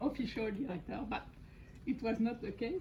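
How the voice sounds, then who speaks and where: A woman speaks in a French accent at a fairly high pitch. The room has an audible echo. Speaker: thesis supervisor. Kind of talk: formal speech. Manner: halting.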